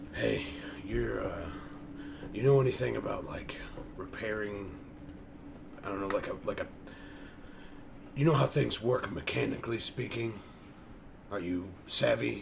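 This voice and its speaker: A man puts on a raspy character voice, fairly low in pitch. He speaks at a moderate pace over light background noise. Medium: actual play. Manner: jovial, casual.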